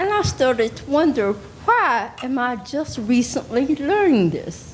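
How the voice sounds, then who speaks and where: With noticeable background noise behind her, a woman speaks fairly slowly at a high pitch, her voice swinging very widely. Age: 60s. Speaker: audience member asking a question. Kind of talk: audience question.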